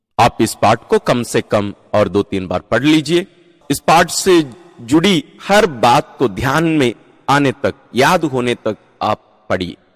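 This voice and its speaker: Calm in tone, a man speaks at a fairly high pitch. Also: long, frequent pauses. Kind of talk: guided meditation and Bible reflection. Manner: calm, explanatory, teaching.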